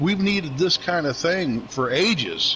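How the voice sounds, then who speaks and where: A man's pitch moves in an ordinary way while noticeable background noise carries on behind him. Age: 60s. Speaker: sim racing league driver. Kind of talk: casual chat. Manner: halting, many fillers.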